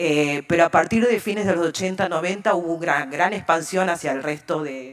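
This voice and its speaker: The voice is a plain, everyday voice, belonging to a woman with a fairly low pitch. She speaks at a moderate pace with ordinary pitch variation. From Argentina. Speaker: civil society panelist. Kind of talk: conference talk.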